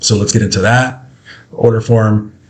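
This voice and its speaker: This man's voice is somewhat breathy and medium in pitch, with fairly even intonation. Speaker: sales and marketing coach; sales, marketing coach. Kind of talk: screen-share tutorial. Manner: fast; casual, with fillers.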